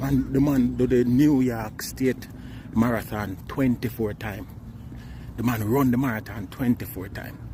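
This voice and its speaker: Through noticeable background noise, a man talks with a Jamaican accent. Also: medium pitch for a man, moderate pace. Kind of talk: casual talk to camera. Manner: excited, animated.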